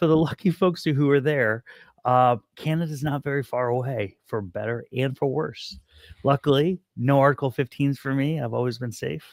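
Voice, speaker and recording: The recording is very clean, with a silent background and a dry, close sound with no echo. A man with an ordinary speaking voice talks at a moderate pace, his fairly high pitch showing ordinary variation. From United States. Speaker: retired army officer and entrepreneur. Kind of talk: casual chat.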